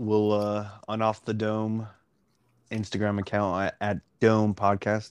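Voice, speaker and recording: Monotone, flat intonation from a man in a Texan accent, fairly low in pitch and very slow in pace, against a quiet background. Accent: Texan American English. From Dallas, Texas. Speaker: podcast co-host. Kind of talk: casual chat.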